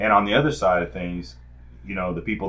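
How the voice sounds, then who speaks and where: Talking at a very fast pace, a man with a very deep, low pitch uses lively intonation. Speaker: podcast co-host. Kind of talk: casual chat. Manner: halting.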